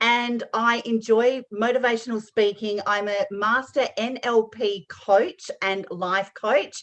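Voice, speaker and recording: With an Australian accent, a woman talks at a very slow pace with hardly any pauses, in a fairly high pitch with fairly even intonation. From Western Australia. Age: 50s. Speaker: life coach and podcast host. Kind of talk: self-introduction.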